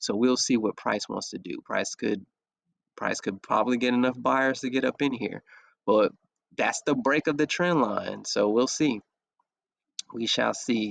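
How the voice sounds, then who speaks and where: With an unremarkable speaking voice, a man talks at a medium pitch and ordinary pitch variation, the sound dry and close with no echo against a quiet background. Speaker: forex trading analyst. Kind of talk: screen-share trading analysis. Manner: casual.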